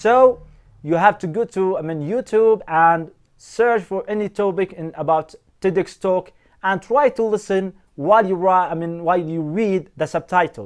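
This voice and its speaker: A man speaks with a non-native accent at a moderate pace. His pitch is high, with ordinary pitch variation. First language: not English. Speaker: English teacher. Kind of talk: tutorial.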